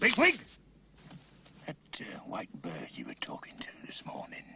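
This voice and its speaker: A man whispers in a cartoonish character voice. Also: moderate pace. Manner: clipped, authoritative, interrogating.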